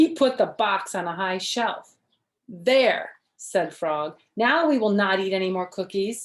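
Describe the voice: Plain reading aloud plays out against a quiet background.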